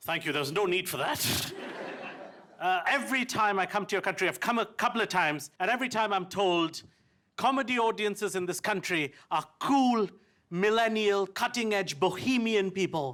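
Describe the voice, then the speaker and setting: Speaking at a moderate pace, a man uses a bright, sharp tone at a high pitch with ordinary pitch variation. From India. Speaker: stand-up comedian. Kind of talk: stand-up comedy performance.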